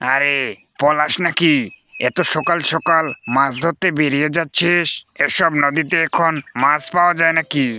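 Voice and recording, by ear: A man puts on a cartoonish character voice at a fairly high pitch and very even loudness, the sound dry and close with no echo. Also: fairly slow pace, fairly even intonation.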